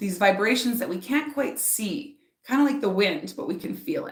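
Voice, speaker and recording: A loud woman's voice at a moderate pace, with very wide pitch swings and audible room echo. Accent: Canadian. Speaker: spiritual author and speaker. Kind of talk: live stream oracle reading and guided meditation. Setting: live stream. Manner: animated, loud, talks with hands; softer during meditation.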